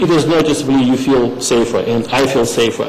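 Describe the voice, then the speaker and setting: Someone with a non-native accent talks at a fairly slow pace. Room echo is audible, and background noise is noticeable. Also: man. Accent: foreign accent, noticeable. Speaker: resident speaking at public meeting. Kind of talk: public comment at town meeting. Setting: town hall meeting. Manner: halting.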